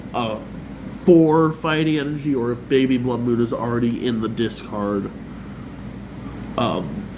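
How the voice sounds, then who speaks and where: A man at a medium pitch, fairly slow and broken by long, frequent pauses, with ordinary pitch variation, audible room echo and noticeable background noise. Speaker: card game content creator. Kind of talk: tutorial.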